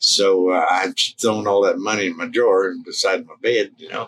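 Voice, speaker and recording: At a moderate pace, this voice has a relaxed tone and a South Midland US accent. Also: man. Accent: rural Southern-Midland American. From Missouri, US Midwest/South border. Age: 70s. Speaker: Willie Nelson impersonator and musician. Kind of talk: interview, casual chat. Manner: relaxed, folksy with many fillers.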